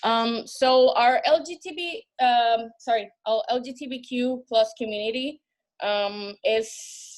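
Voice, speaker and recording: In a Spanish accent, a woman speaks at a high pitch with ordinary pitch variation and big swings in loudness. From Puerto Rico, San Juan. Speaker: bar manager. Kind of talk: panel discussion. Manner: halting, many fillers and repetitions.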